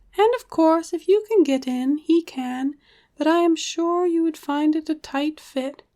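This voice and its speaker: This put-on character voice moves at a moderate pace. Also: woman, extremely high pitch for a woman. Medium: read story. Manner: cheeky and sly.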